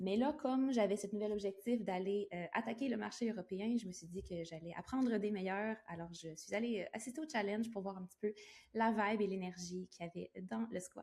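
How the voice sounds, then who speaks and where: Speaking with a Quebec accent, a woman uses a medium pitch with ordinary pitch variation, a somewhat breathy, dark, mellow tone, and a fairly quick pace. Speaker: entrepreneur, virtual assistant. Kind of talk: interview. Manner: hesitant fillers.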